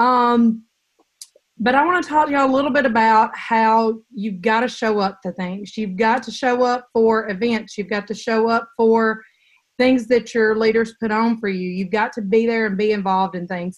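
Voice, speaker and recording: A woman with a Southern accent and a fairly high pitch talks at a moderate pace with ordinary pitch variation. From US South, Mississippi. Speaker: direct sales director. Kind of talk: online training call.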